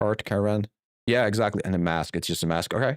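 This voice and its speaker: A man with a non-native accent talks at a moderate pace in a fairly low pitch with fairly even intonation. The sound is dry and close with no echo, and the recording is very clean over a silent background. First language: not English. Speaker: game developer and streamer. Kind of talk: live stream chat while 3D modelling. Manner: hesitant, searching for words.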